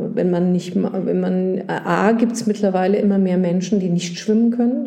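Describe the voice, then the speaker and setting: A woman speaks at a fairly slow pace in a somewhat breathy, dark, mellow tone, medium in pitch with fairly even intonation, and audible room echo surrounds her. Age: 60s. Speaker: gynecologist. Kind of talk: casual chat. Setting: doctor's office.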